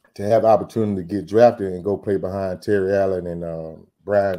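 Man with a very deep, low voice and a dark, mellow tone, fairly even intonation and a moderate pace. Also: quiet background. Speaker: guest. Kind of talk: interview answer. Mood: warm, reminiscing. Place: home room. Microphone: video call.

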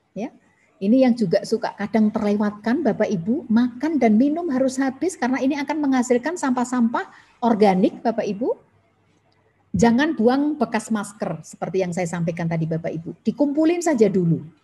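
Speaking at a fairly quick pace, a woman uses a fairly high pitch with very wide pitch swings and a dark, mellow tone. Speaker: government environmental official, webinar speaker; webinar presenter. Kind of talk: webinar presentation. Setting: video call from home. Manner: frequent fillers (ya, uh). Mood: friendly, smiling. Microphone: video call.

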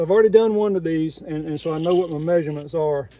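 A man talking at a very fast pace, dark and mellow in tone, in a dry sound with no echo. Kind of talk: tutorial. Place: street. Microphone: phone near.

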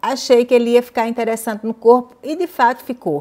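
The woman's fairly high voice carries a dark, mellow tone. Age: 50s. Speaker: fashion YouTuber. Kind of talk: fitting-room haul vlog. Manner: animated.

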